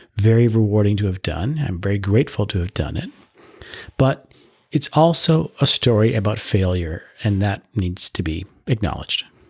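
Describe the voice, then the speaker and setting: A man with a Canadian accent, fairly low in pitch and somewhat breathy, at a moderate pace. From Canada, Ottawa. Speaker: podcast host. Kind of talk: solo podcast monologue. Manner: mild disfluency, not severe.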